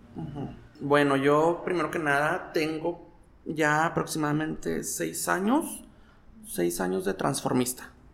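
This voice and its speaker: Over noticeable background noise, a man with a fairly high pitch talks at a fairly slow pace, his pitch swinging very widely. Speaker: drag performer / impersonator. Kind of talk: casual interview. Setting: recorded indoors, unusual location.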